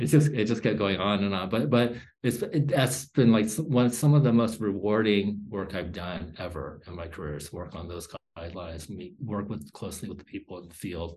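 With lively intonation and big swings in loudness, a man talks at a fairly quick pace in a fairly low, somewhat breathy voice. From South Korea, raised in US. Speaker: bioethicist and professor. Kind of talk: interview conversation.

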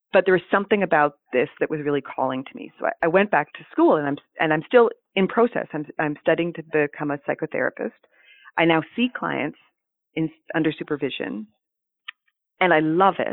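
Someone with a Canadian accent speaks at a fairly quick pace, using lively intonation and big swings in loudness. Long pauses come often. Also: woman, fairly low pitch for a woman. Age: 40s. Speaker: therapist and former NICU family support specialist. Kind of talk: interview conversation.

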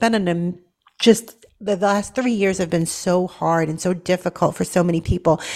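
A woman with a plain, everyday voice and an American accent speaks at a medium pitch with fairly even intonation. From Boston, Massachusetts. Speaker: nurse and talk radio host. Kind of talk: talk radio interview.

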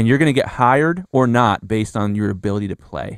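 On a very clean recording with a silent background, a man with a medium pitch talks at a fairly quick pace, his tone animated and his intonation lively. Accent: American. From US Midwest, Columbus, Ohio. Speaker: mastering engineer and podcast host. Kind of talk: casual interview chat.

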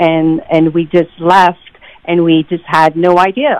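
Here a woman has a normal speaking voice with fairly low pitch. She talks at a fairly slow pace. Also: dry, close sound with no echo. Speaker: singer songwriter. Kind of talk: casual interview.

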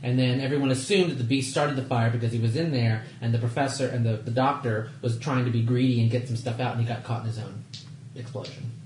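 A man with an American accent talks at a very fast pace and a medium pitch. His intonation is fairly even, with noticeable background noise behind him. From Texas. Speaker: tabletop game player. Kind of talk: casual chat during a tabletop roleplaying game.

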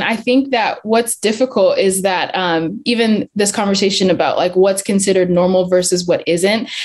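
A woman speaks at a moderate pace with hardly any pauses, in an American accent. Her pitch is medium and its variation ordinary. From Zambia, England and US Southwest. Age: young. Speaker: young church leader. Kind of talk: casual chat.

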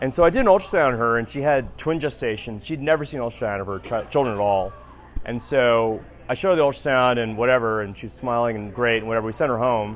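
Over noticeable background noise and audible room echo, a man with an American accent speaks at a very fast pace, at a medium pitch with ordinary pitch variation. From rural Texas, Houston area. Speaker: emergency physician. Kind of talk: live storytelling. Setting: stage with audience at a happy hour.

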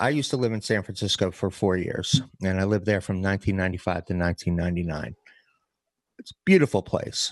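A man uses a normal speaking voice at a fairly low pitch and moderate pace. His ordinary pitch variation comes through in a dry, close sound with no echo. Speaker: podcast co-host.

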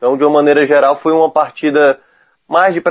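This man uses a normal speaking voice, fairly high in pitch and fairly quick. The sound is dry and close with no echo, against a quiet background. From Ceará, Brazil. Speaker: football commentator. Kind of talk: casual chat. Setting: remote call.

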